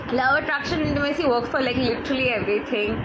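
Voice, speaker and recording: The speaker has a Bengali accent and lively intonation. Noticeable background noise and audible room echo surround the voice. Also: woman. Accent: Indian English (Bengali). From India (Bengal). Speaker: life coach. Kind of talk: live-streamed talk.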